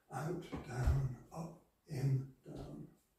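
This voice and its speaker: The recording carries audible room echo. A man at medium pitch speaks with fairly even intonation. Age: 70s. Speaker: yoga teacher. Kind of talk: tutorial.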